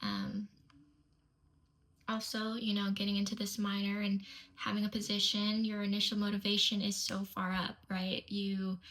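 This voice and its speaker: Her pitch lands in the medium range. The woman keeps a moderate speed. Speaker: kinesiology student and strength coaching intern. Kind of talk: reading prepared answers aloud. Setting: recorded video submission. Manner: not loud.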